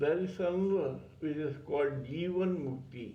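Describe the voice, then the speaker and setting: A man speaks at a very slow pace with ordinary pitch variation. Audible room echo surrounds his voice. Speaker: spiritual teacher, channel owner. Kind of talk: spiritual talk on scripture. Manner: stuttering.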